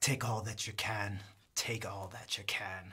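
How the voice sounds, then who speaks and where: Putting on a character voice, a man speaks at a fairly slow pace with a fairly low pitch. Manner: scary.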